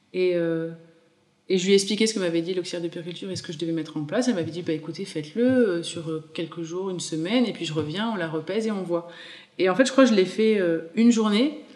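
A woman speaks at a very fast pace with a medium pitch and ordinary pitch variation. Her loudness swings widely. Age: 30s. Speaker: mother sharing breastfeeding story, small business owner. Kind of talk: testimony.

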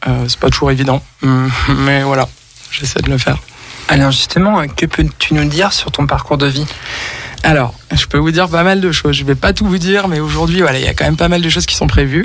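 Against noticeable background noise, a man with a fairly high pitch talks at a fairly quick pace with long, frequent pauses, ordinary pitch variation and very even loudness. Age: 30s. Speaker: musician. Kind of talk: radio interview. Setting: radio studio.

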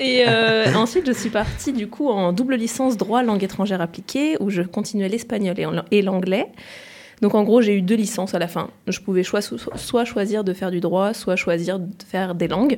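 Speaking in a normal speaking voice, a woman keeps a moderate pace and medium pitch with ordinary pitch variation. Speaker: former student. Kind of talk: casual chat.

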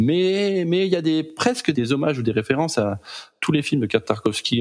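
Lively intonation marks this man's speech, which runs at a fairly quick pace. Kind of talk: casual chat about films.

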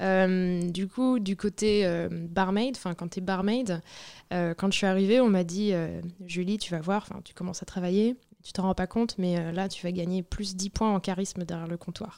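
On a very clean recording with a silent background, the speech moves at a fairly slow pace with fairly even intonation and big swings in loudness. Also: woman, medium pitch for a woman. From Brittany, France. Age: young. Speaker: barmaid. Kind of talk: interview, casual chat. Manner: hesitant, many fillers.

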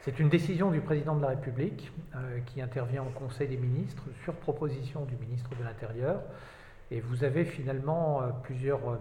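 In audible room echo, a man with a dark, mellow, somewhat breathy tone speaks at a moderate pace with fairly even intonation. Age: 50s. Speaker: regional prefect, senior civil servant. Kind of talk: interview. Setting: on location in an official building. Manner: formal.

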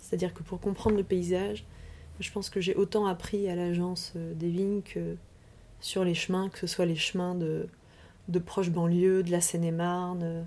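The tone is dark and mellow, with monotone, flat intonation. Delivery comes at a fairly slow pace. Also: woman. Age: 30s. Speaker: urban planner and landscape designer. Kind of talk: interview. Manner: halting, many repetitions and fillers.

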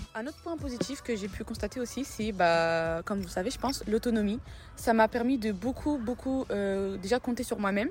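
A somewhat breathy woman's voice, fairly high in pitch with ordinary variation, at a moderate pace. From Morocco. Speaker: international student. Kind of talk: interview testimony.

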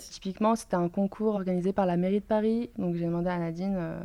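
A woman with a dark, mellow tone and medium pitch talks at a fairly quick pace with fairly even intonation. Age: 20s. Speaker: startup founder. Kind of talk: interview testimony.

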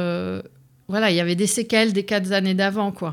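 A woman's unremarkable speaking voice at medium pitch, with fairly even intonation and a moderate pace, in a very clean recording with a silent background. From Lebanon and Canada. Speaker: immigrant sharing her life story. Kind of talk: interview testimony. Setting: studio.

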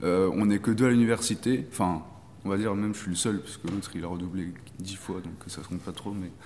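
Ordinary pitch variation in a man's fairly low-pitched voice. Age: 20s. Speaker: master's student. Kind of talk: casual chat.

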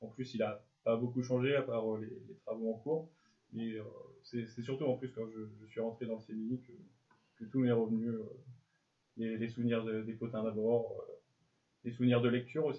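A man's medium-pitched voice moves at a fairly slow pace, its intonation fairly even and broken by long, frequent pauses. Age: 20s. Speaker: journalism student. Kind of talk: interview. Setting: school resource centre. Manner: halting, repeats words.

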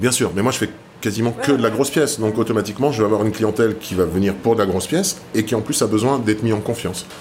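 Somewhat breathy, a man talks at a very fast pace with a medium pitch and ordinary pitch variation. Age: 50s. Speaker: tattoo artist. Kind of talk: interview. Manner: hesitant.

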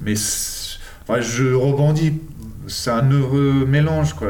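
Amid audible room echo and noticeable background noise, a man speaks at a very slow pace in a medium pitch with lively intonation. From English and Argentine parentage, born in England. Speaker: street artist and art teacher. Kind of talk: interview. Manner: halting, many hesitations.

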